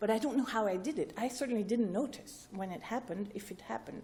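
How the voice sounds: A woman talks at a fairly quick pace, her pitch fairly high and her tone slightly mellow, with ordinary pitch variation.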